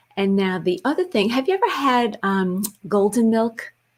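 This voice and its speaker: A woman's medium-pitched voice at a fairly slow pace, with ordinary pitch variation, on a very clean recording against a silent background. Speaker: wellness talk show co-host. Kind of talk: casual chat. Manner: animated.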